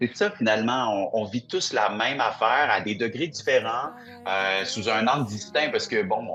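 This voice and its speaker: A man at a medium pitch and moderate pace, with music in the background. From Quebec. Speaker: singer-songwriter. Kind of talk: interview. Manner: hesitant, with many fillers.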